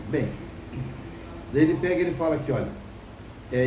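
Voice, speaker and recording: Noticeable background noise and audible room echo surround the speaker. He is a man with a fairly high pitch. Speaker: preacher. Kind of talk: sermon. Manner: fast.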